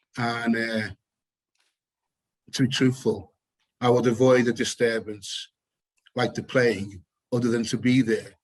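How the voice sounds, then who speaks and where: In a British accent, a man with a medium pitch speaks in a flat monotone at a fairly slow pace, with long, frequent pauses. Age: 60s. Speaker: photographer and activist. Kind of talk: panel discussion.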